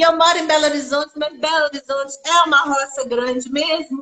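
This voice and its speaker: A woman's raised, projected voice, high-pitched with a bright, sharp tone, at a moderate pace in a Minas Gerais accent. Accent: mineiro (Minas Gerais) Brazilian Portuguese. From Minas Gerais, Brazil. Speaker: storyteller and actress. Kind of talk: casual chat. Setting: live stream conversation.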